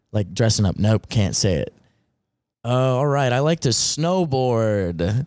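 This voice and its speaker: A man speaks at a fairly slow pace with a slight Southern US accent, his medium-pitched voice carrying lively intonation at a very even loudness on a very clean recording with a silent background. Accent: slight Southern twang. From Western Maryland. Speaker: artist. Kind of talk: casual interview chat.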